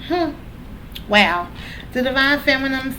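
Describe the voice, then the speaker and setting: A woman speaks at a moderate pace. There is audible room echo and noticeable background noise. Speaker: tarot reader. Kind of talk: tarot reading. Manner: casual.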